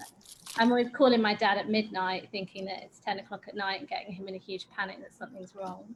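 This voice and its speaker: A woman with an Essex accent at a medium pitch, very fast, fairly even in intonation, with big swings in loudness and noticeable background noise. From England, Essex. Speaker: watercolor workshop instructor, textile designer. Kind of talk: casual chat. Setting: video call.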